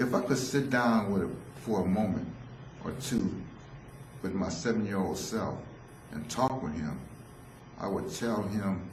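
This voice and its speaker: A man with a fairly low pitch and ordinary pitch variation speaks at a fairly slow pace with long, frequent pauses, amid audible room echo and noticeable background noise. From San Francisco, US. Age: 60s. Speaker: solo theatre performer, former drug counselor. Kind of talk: autobiographical solo performance.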